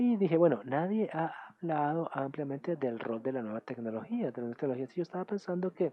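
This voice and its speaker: A man talks at a very fast pace with a fairly high pitch. His pitch swings very widely. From Germany. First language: German (speaking Spanish). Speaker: UN official and academic speaker. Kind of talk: conference talk. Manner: halting, with filler sounds.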